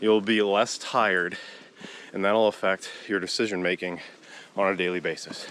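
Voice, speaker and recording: Here a man talks in a fairly low voice with monotone, flat intonation. His moderate pace comes over noticeable background noise. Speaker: vlogger and conservation crew member. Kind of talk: vlog narration. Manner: casual.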